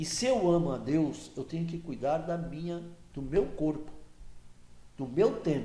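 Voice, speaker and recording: Very wide pitch swings from a man with a fairly high pitch. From Brazil, Santos. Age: 70s. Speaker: regional political association executive. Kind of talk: podcast interview.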